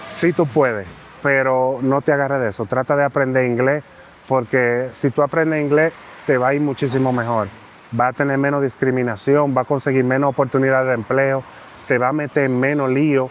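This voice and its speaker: In a Dominican accent, a man with a medium-pitched voice talks at a fairly quick pace, his intonation fairly even and his loudness very even. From Dominican Republic. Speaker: immigrant interviewee. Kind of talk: interview.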